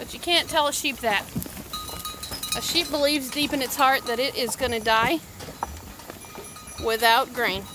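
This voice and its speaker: The voice comes through loud at a moderate pace, broken by long, frequent pauses, with noticeable background noise. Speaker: sheep farmer. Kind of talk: casual vlog narration. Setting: outdoors.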